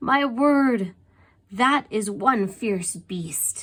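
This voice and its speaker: On a very clean recording with a silent background, a woman uses a put-on character voice at a fairly high pitch. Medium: read story. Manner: flustered, exclamatory.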